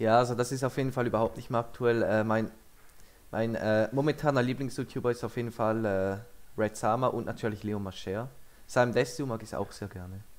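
A man speaks with a French accent. His pace is fairly quick and his intonation fairly even. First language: French (speaking German). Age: young. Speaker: YouTuber. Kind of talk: casual reaction video commentary.

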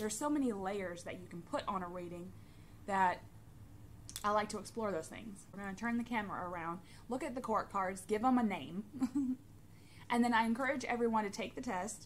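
There is light background noise as a woman talks with ordinary pitch variation. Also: fairly quick pace. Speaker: tarot hobbyist vlogger. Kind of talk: casual vlog chat. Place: home room. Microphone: phone near.

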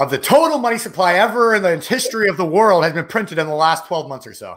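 Over a quiet background, a man with a high pitch speaks at a very fast pace with lively intonation. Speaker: podcast co-host. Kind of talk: interview conversation. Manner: fast talker. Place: home room.

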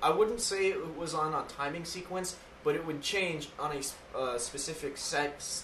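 A man talks at a moderate pace, his pitch fairly high with ordinary variation. Noticeable background noise runs underneath. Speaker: gaming podcast host and let's play creator. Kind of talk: casual chat. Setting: studio.

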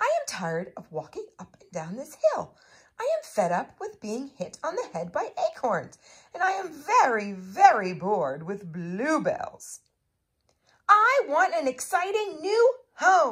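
In a cartoonish character voice pitched high, the speaker goes at a fairly slow pace. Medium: puppet show. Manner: complaining, fed up.

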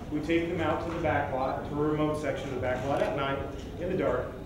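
Amid strong room echo and noticeable background noise, a man speaks at a fairly quick pace with a monotone, flat intonation. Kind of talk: presentation to press. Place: hall.

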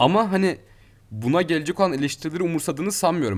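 A man is talking. His pace is very fast. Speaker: student radio host. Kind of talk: casual chat.

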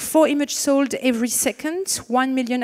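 Against a quiet background, a woman talks with a French accent. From France. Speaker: panel moderator and marketing consultant. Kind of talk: moderated fireside chat. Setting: stage with audience. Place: stage. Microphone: handheld.

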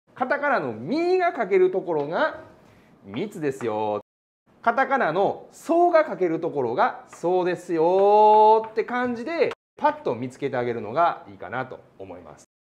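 A man talks at a moderate pace. His loudness swings a lot. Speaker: physics teacher. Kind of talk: lecture. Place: classroom.

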